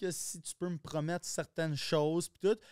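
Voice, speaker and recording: Over a quiet background, a man with a strong Quebec accent speaks at a fairly high pitch. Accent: strong Québécois. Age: 30s. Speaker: entrepreneur; podcast guest. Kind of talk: casual chat. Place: studio. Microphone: studio mic.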